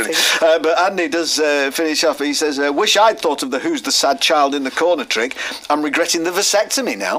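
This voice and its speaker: Pitched fairly high, a man talks at a fairly quick pace against noticeable background noise. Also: lively intonation. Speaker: radio presenter. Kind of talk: radio show banter.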